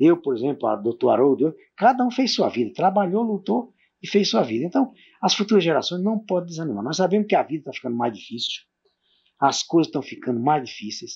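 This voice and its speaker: Over a quiet background, a man with a high pitch talks at a fairly quick pace, his voice making very wide pitch swings. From Brazilian Northeast. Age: 60s. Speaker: former mayor, local pioneer. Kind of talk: oral history interview. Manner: halting.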